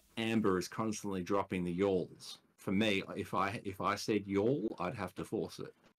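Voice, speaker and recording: Moderate pace and fairly even intonation from a man with an Australian accent and a fairly low pitch. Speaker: podcast guest. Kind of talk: casual chat.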